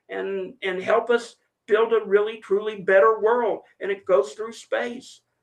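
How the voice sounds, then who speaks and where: A man speaks loudly and at a fairly slow pace, with a high pitch and fairly even intonation. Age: 70s. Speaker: space industry podcast host, guest. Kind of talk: casual chat.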